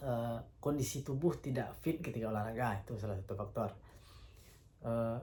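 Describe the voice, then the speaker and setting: A man's somewhat breathy voice, dark and mellow in tone, at medium pitch, with audible room echo. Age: 30s. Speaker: vlogger. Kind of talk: casual monologue. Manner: hesitant, with fillers.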